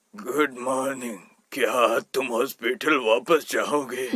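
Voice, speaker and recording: Putting on a character voice, a man speaks very slowly in a raspy tone at medium pitch with ordinary pitch variation. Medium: fan dub. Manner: slow, doting.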